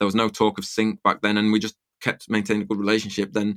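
A man speaks with an English accent. His pitch is fairly low and his pace fairly quick. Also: very clean recording, silent background. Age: 30s. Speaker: music producer. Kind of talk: interview.

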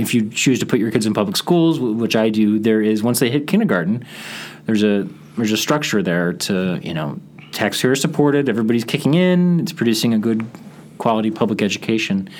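A man talks at a very fast pace with lively intonation. There is noticeable background noise. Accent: American. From Chicago suburbs, US Midwest. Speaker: radio reporter. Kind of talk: interview. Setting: studio. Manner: conversational.

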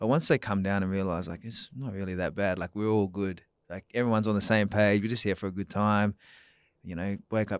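In a very clean recording with a silent background and a dry, close sound with no echo, a man talks fairly quickly with an Australian accent and fairly even intonation. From Perth, Western Australia. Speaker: run club founder and FIFO worker. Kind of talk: casual chat. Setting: studio.

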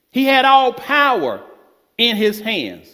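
This man talks at a very slow pace with an extremely high pitch. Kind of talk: sermon. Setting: church. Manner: emphatic, declarative, rhythmic pulpit delivery with repeated "Amen" and punchy closers.

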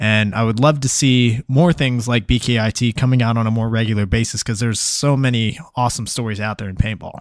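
A man with an ordinary speaking voice talks at a fairly quick pace with hardly any pauses. His pitch is medium, his intonation fairly even, and the recording very clean with a silent background. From Texas. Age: 20s. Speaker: podcast host and paintball player. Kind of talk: casual interview. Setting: live stream.

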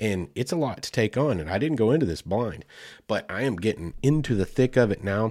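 Recorded very cleanly over a silent background, a man with an Oklahoma accent talks at a fairly quick pace with a fairly low pitch and lively intonation. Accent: Southern US (Oklahoma). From US South, Oklahoma. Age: 40s. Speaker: podcast host. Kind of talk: casual solo podcast monologue.

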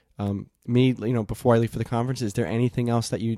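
In a very clean recording with a silent background and a dry, close sound with no echo, a man talks at a very fast pace with monotone, flat intonation and a dark, mellow tone. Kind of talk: casual chat. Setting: home recording in a warm room. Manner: halting, many filler words; podcast voice.

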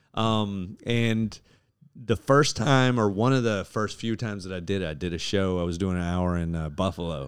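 A man at a moderate pace in a plain, everyday voice, fairly low in pitch with ordinary variation, on a very clean recording with a silent background. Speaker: stand-up comedian. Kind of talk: casual chat.

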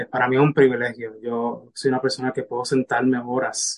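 With monotone, flat intonation, a man talks at medium pitch and a moderate pace. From Puerto Rico. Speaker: spiritual mentor and medical interpreter. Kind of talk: casual interview.

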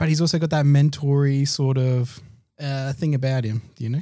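A man talks at a fairly quick pace with an Australian accent and a fairly high pitch. His tone is dark and mellow, and his intonation stays fairly even. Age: 30s. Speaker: podcast co-host. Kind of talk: casual chat.

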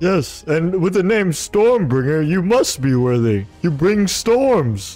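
A man performs a put-on character voice at a high pitch and a fairly slow pace. Faint music plays in the background. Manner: earnest, formal, slow.

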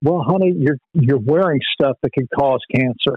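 A man is speaking. His pace is moderate. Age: 60s. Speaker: ministry leader. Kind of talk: casual interview. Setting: phone call.

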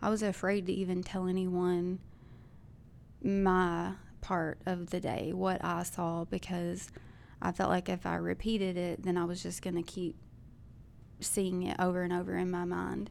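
With a Southern US accent, a woman speaks at a moderate pace, her pitch fairly low and her intonation monotone and flat. Her speech has long, frequent pauses. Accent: Southern American. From US South, Arkansas. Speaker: school shooting survivor, church member. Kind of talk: testimony.

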